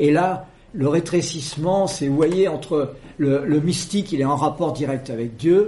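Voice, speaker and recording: This man's voice sits fairly high for a man, moving at a fairly slow pace with ordinary pitch variation. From central France, Creuse. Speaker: debate speaker, anarchist collective member. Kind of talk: public talk. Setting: debate room with audience.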